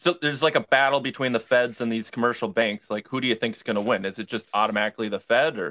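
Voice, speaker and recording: A man talks at a very fast pace in a medium-pitched, bright and sharp voice, the sound dry and close with no echo. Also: ordinary pitch variation, hardly any pauses. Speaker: podcast co-host, libertarian party member. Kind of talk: casual chat.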